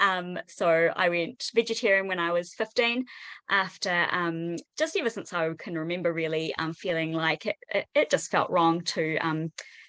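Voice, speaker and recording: Bright and sharp in tone, a woman talks with a New Zealand accent at a fairly low pitch and a moderate pace. Her pitch varies in an ordinary way, and the sound is dry and close with no echo against a quiet background. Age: 30s. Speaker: teacher. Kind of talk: online panel discussion. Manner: hesitant, many fillers.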